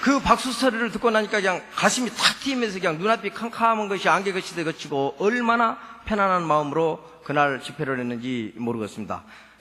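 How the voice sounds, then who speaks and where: A man's raised, projected voice in a Jeolla accent, high-pitched and fairly quick, with very wide pitch swings and hardly any pauses, over noticeable background noise. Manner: warm testimony-giving.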